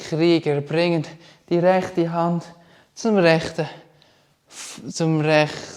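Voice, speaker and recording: A man with a Swiss accent and a high pitch, at a very slow pace. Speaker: yoga instructor. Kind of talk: guided yoga class instruction.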